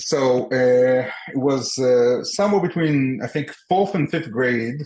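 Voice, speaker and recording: Speaking at a fairly slow pace with a medium pitch, a man with an Israeli accent keeps his loudness very even and his pitch variation ordinary. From Israel and the US (split upbringing). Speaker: entrepreneur. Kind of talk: podcast interview. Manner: halting, many fillers and repetitions.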